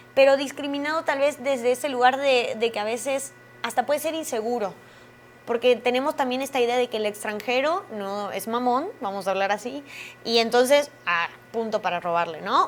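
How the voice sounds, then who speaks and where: A woman talks at a moderate pace with lively intonation. Her pitch is high. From Argentina. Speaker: actress. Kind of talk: interview.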